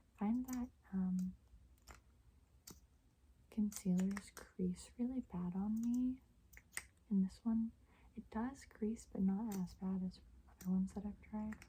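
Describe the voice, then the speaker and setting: A woman with a somewhat breathy, dark, mellow voice at a medium pitch speaks at a very slow pace, with fairly even intonation and long, frequent pauses. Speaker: asmr youtuber. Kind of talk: asmr haul, soft spoken whisper. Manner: soft-spoken, whispering.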